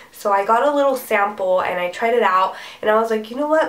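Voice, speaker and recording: A woman's fairly high voice at a fairly quick pace, with ordinary pitch variation and noticeable background noise. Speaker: beauty vlogger. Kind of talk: product review. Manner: casual, chatty.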